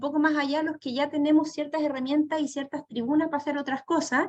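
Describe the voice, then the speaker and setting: Her pitch is high, with ordinary variation, as this woman talks at a fairly quick pace. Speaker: panel moderator. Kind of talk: panel discussion.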